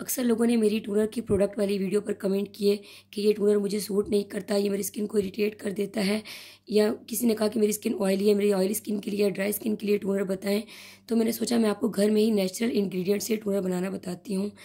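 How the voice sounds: A woman's husky, medium-pitched voice with a dark, mellow tone, fast pace and little pitch movement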